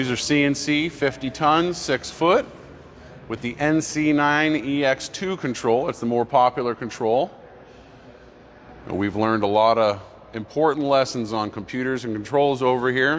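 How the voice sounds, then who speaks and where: A man's medium-pitched voice at a moderate pace, ordinary pitch variation, and noticeable background noise. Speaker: machinery dealer staff giving a showroom tour. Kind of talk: live-streamed walkthrough tour.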